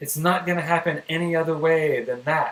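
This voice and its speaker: His pitch is fairly high for a man. He talks at a fairly slow pace. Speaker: crypto trading streamer. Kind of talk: live stream technical analysis. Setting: live stream.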